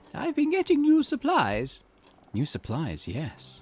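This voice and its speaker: Over music in the background, a man puts on a character voice and speaks at a fairly slow pace. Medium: solo performance.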